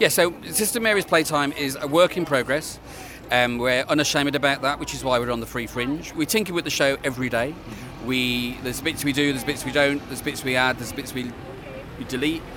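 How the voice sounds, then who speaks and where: Noticeable background noise runs under this recording. Over it, a man speaks at a fairly high pitch. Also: ordinary pitch variation, fairly quick pace. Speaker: TV producer. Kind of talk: interview.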